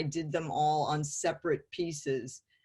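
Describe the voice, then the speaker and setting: A woman with an American accent speaks in a somewhat breathy voice. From California, San Francisco area. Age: 60s. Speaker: artist. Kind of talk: interview. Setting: video call.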